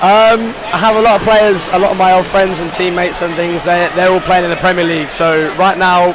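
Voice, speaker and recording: A man with a high pitch talks at a fairly quick pace amid noticeable background noise and audible room echo. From England. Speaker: college soccer player. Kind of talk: interview.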